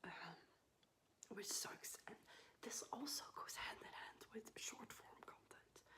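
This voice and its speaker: The speaker whispers at a very slow pace. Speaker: ASMR creator. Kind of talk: ASMR whisper ramble. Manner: whispered.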